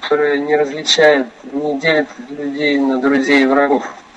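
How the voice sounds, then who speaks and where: A fairly high-pitched man at a moderate pace, with noticeable background noise. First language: Russian. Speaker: interpreter. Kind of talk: consecutive interpretation. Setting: phone call. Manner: soft-spoken.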